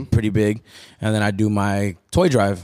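In a very clean recording with a silent background, a man with an unremarkable speaking voice and an American accent talks at a moderate pace with a fairly low pitch. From Tucson, Arizona (south side). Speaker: DJ and artist manager. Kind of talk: casual interview. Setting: on location at a restaurant.

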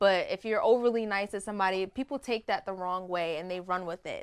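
A woman with a medium pitch talks at a fairly quick pace with fairly even intonation, an unremarkable speaking voice. The recording is very clean, its background silent. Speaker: singer and recording artist. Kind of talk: casual chat interview.

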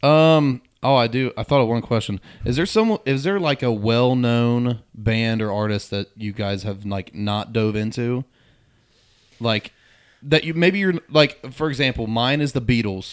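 A man talks at a fairly slow pace with an American accent, an ordinary speaking voice. His pitch is medium and varies in an ordinary way. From southwest Ohio, near Middletown. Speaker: country music singer-songwriter. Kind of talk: casual chat.

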